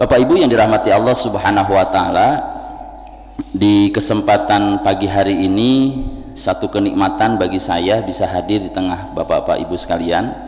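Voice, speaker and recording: With noticeable background noise and audible room echo, a man speaks at a moderate pace. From West Java (Tasikmalaya, Sundanese). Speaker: Islamic preacher. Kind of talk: sermon. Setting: mosque.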